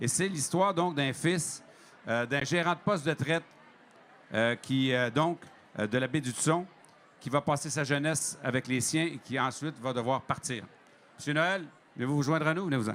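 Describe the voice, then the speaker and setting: In a Quebec accent, a man talks at a moderate pace with a fairly high pitch. His pitch varies in an ordinary way, broken by long, frequent pauses. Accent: Québécois. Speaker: TV host. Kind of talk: introduction of a guest.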